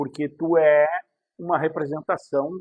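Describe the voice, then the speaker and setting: Recorded dry and close with no echo, a man talks in a high voice. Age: 60s. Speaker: self-help video host. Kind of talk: casual monologue to camera.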